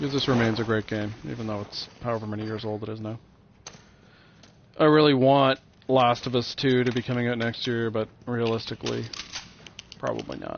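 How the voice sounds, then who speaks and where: Quietly and at a fairly quick pace, a man talks with fairly even intonation and a medium pitch, leaving long, frequent pauses. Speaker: video game streamer. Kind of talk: casual commentary while playing a game. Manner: tends to get quieter.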